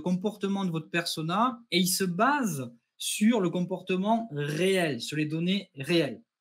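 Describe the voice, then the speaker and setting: Pitched high, a man speaks in a southwestern French accent with ordinary pitch variation. His pace is fairly slow. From southwest France, near Toulouse. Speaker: customer success manager, webinar host. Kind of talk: webinar presentation. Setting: online webinar.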